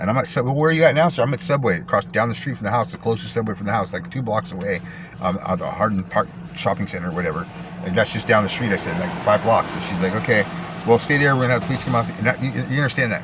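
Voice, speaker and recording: A man speaks at a very fast pace with a medium pitch and lively intonation. His tone is animated, and there is noticeable background noise. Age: 40s. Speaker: vlogger telling personal story. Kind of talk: personal storytelling monologue.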